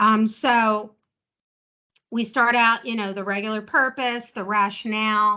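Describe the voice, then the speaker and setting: A woman with a New Jersey accent speaks at a fairly slow pace against a quiet background, her fairly high voice bright and sharp in tone with fairly even intonation. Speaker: chair of a government advisory group. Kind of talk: virtual meeting discussion. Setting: video call. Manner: casual, chatty.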